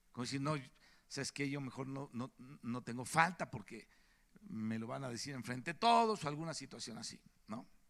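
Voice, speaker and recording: Pausing long and often, a man speaks at medium pitch with lively intonation. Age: 60s. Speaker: preacher. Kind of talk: sermon.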